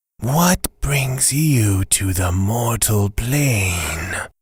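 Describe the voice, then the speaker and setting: Putting on a raspy character voice, a man speaks at a medium pitch and a very slow pace. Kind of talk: audio drama.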